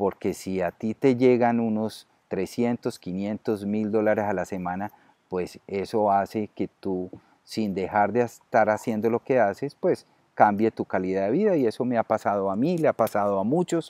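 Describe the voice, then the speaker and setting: A man talks at a fairly slow pace with a fairly low pitch, a dark, mellow tone and ordinary pitch variation, in a dry sound with no echo against a quiet background. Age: 50s. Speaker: network marketer. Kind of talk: interview. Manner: halting, many fillers. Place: garden. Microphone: webcam.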